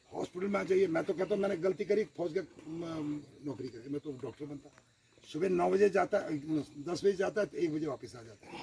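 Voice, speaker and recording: With an ordinary speaking voice, a man talks at a moderate pace in a fairly high pitch, his intonation lively and his loudness swinging widely. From Uttarakhand, India (Dehradun). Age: 60s. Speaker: retired army man speaking at political meeting. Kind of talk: public speech at village meeting.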